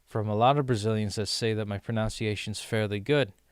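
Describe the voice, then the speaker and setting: A man's voice in a very clean recording, silent in the background, dry and close with no echo. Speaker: streamer learning Portuguese. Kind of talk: casual livestream talk. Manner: halting.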